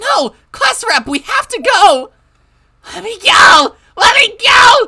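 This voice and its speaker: This put-on character voice sits at an extremely high pitch with very wide pitch swings. It moves at a very slow pace. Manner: urgent, pleading.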